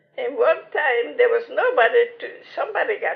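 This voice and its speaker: A woman's extremely high-pitched voice with lively intonation at a moderate pace. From Lithuania. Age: 80s+. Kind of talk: interview answer.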